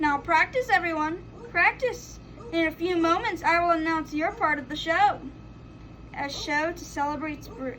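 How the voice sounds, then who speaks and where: Over clear background noise, a put-on character voice moves at a moderate pace. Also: woman, extremely high pitch for a woman, big swings in loudness. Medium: read story.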